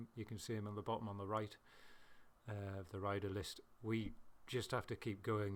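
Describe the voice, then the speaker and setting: A man with a British accent talks at a fairly quick pace. His fairly low voice keeps a fairly even intonation. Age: middle-aged. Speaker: video game racing commentator. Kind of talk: casual gameplay commentary. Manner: halting, stuttering at times.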